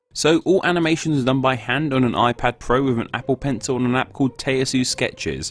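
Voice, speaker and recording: A man speaks in a medium pitch with ordinary pitch variation. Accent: Southeast English. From Southeast England. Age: young. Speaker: educational YouTuber. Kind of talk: Q&A video narration. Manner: casual.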